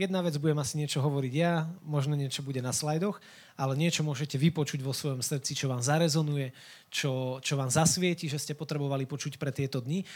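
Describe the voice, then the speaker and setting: A somewhat breathy man's voice, fairly high in pitch, with fairly even intonation at a fairly quick pace, on a very clean recording with a silent background. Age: 20s. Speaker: youth worker and lay preacher. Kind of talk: sermon.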